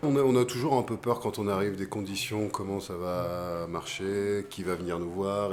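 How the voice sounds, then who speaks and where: A man's fairly low voice with ordinary pitch variation, music in the background. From western France, island off Vendée. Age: 40s. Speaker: singer-songwriter. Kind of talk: post-concert interview. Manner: hesitant, many filler sounds.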